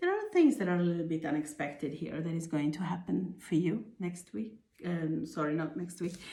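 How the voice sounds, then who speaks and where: A woman's somewhat breathy, fairly low voice with a dark, mellow tone, moderate pace and audible room echo. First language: not English. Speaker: tarot reader. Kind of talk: tarot reading. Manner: halting, with fillers.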